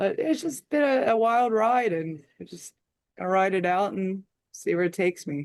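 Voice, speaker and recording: Someone with an American accent speaks at a moderate pace with lively intonation. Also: woman, medium pitch for a woman. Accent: Philadelphia accent, returns when home. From US Northeast, Philadelphia area. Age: 50s. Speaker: heavy metal musician. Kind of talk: interview.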